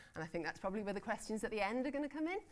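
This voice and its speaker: This woman talks with a British accent. Her intonation is lively. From Britain. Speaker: conference panel chair; newspaper editor. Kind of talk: conference session introduction. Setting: conference room with audience.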